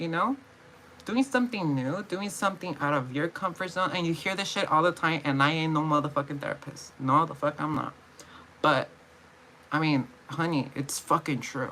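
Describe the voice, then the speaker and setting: Over noticeable background noise, a woman mumbles at a moderate pace in a very deep, low voice with lively intonation. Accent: American. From California. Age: 20s. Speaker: vlogger. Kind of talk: casual vlog monologue. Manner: mumbling; halting, repetitive.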